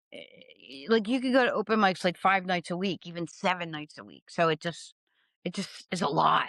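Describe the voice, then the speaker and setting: A woman with an American accent speaks at a moderate pace and a medium pitch, with ordinary pitch variation and big swings in loudness. The sound is dry and close with no echo, on a very clean recording with a silent background. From Philadelphia, Pennsylvania. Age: 50s. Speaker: stand-up comedian. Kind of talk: casual interview. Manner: halting, many fillers.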